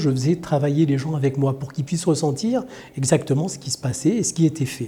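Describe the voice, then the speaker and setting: Against noticeable background noise, a man with a fairly high voice speaks at a fairly quick pace. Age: 60s. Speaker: healer and trainer. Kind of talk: personal introduction monologue. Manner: hesitant, many fillers (euh).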